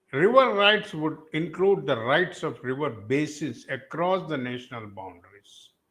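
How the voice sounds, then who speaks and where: Speaking at a fairly slow pace with an Indian accent, a man with a fairly high pitch makes very wide pitch swings. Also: big swings in loudness. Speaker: environmental activist. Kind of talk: panel talk. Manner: halting.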